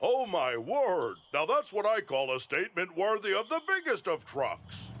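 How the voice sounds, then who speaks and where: In a cartoonish character voice, a man speaks high-pitched and warm in tone, with very wide pitch swings, very even loudness and a moderate pace. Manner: hearty, warm, ho-ho laughing.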